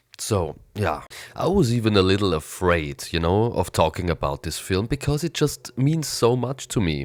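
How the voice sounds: A man speaks in a nasal, raspy voice at a moderate pace with lively intonation. The recording is very clean, with a silent background.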